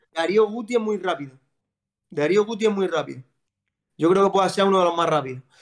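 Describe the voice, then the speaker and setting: A high-pitched man, very fast pace, ordinary pitch variation, long, frequent pauses, quiet background. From Andalusia, Spain (Almería); Andalusia, Spain. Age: 30s. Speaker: footballer; guest. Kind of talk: casual chat. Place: home room. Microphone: video call.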